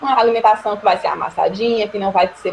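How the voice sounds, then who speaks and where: Noticeable background noise surrounds a woman whose voice sits at a fairly high pitch. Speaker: nursing lecturer. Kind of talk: online lecture. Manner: fast.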